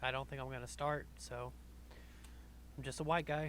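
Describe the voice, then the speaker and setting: This man speaks with a Southern accent. His pace is moderate. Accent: light Southern. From US South. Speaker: podcast host. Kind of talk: casual chat.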